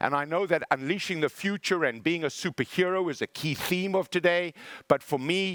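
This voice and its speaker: In a South African accent, a man talks with ordinary pitch variation. The sound is dry and close with no echo, on a very clean recording with a silent background. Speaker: motivational speaker. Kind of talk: keynote speech. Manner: animated.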